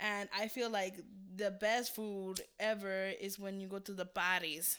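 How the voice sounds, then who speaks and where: An ordinary speaking voice from a woman with an American accent, fairly slow and fairly even in intonation, in a very clean recording with a silent background. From California. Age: 20s. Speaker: podcast co-host. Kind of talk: casual chat.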